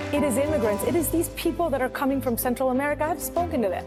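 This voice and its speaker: A woman speaks with music in the background. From Venezuela. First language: Spanish. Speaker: news reporter.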